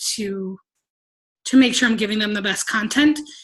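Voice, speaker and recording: A woman speaks with ordinary pitch variation. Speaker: team coach sharing business tips. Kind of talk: training presentation. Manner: fast.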